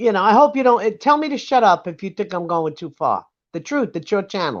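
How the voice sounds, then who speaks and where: A woman with a New York accent talks at a fairly quick pace in a medium pitch, her pitch swinging very widely. The background is quiet. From US Northeast, Brooklyn, New York. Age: 70s. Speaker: livestream panelist. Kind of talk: casual chat. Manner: animated.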